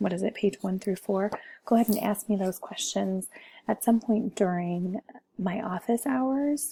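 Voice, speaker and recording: This soft-spoken woman has a somewhat breathy voice with a dark, mellow tone. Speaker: teacher. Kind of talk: tutorial.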